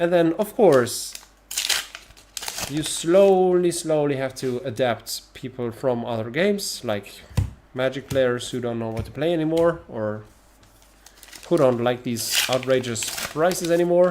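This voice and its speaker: Speaking with a non-native accent, a man at medium pitch uses lively intonation and a fairly slow pace, with long, frequent pauses. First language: not English. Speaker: trading card game streamer. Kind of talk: casual live stream chat. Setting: live stream. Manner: animated.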